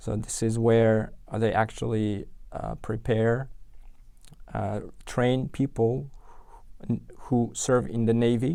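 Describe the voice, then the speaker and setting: In a very clean recording with a silent background, the speaker talks with an Uzbek accent in a dark, mellow tone, at a very slow pace with fairly even intonation and long, frequent pauses. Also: man, medium pitch for a man. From Uzbekistan, Tashkent. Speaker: software engineer. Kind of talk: interview. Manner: halting, many fillers and restarts.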